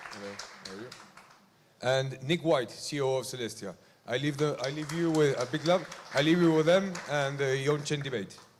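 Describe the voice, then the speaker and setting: A man's fairly high, somewhat breathy voice at a fairly quick pace, with ordinary pitch variation, long, frequent pauses and audible room echo. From Argentina. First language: Spanish. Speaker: event host. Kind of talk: stage introduction. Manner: halting.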